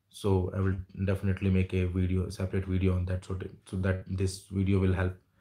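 A man speaks in a very deep, low pitch with an Indian accent. His dark, mellow tone is somewhat breathy against a quiet background. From India, Jamshedpur. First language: Hindi. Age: 30s. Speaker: YouTuber. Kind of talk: livestream chat with viewers. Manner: halting. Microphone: earbuds.

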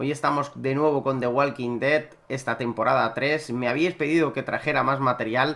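Fairly even intonation from a man, delivered at a moderate pace. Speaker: gaming video creator. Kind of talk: casual gaming commentary. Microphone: headset.

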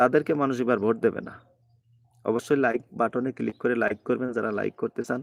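A man with vocal fry and fairly even intonation, in a dry, close sound with no echo. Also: medium pitch for a man, quiet background. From Bangladesh, Magura. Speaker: migrant worker vlogger, political commentator. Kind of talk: live-stream political commentary. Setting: live stream from abroad.

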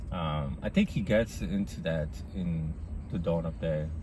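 Lively intonation and vocal fry over light background noise, with a dry sound and no echo. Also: man. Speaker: video essayist. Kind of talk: casual monologue. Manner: rambling, filler-heavy; casual, profane. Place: car. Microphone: phone near.

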